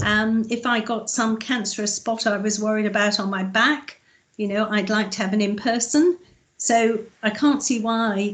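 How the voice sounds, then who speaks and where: Fairly high-pitched and somewhat breathy, a woman speaks at a moderate pace. Her intonation is fairly even, and the background is quiet. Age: 60s. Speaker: councillor. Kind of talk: committee meeting. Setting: video call.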